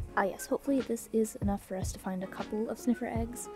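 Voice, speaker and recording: Someone talks at a very fast pace while music plays in the background. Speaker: gaming content creator. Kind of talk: gameplay commentary narration.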